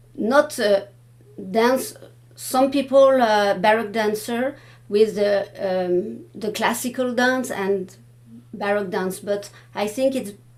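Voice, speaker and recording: A woman speaks very slowly at a fairly high pitch with ordinary pitch variation, leaving long, frequent pauses over noticeable background noise. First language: French. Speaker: Baroque dance researcher. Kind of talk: panel discussion. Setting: room with live audience. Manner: halting, many hesitations.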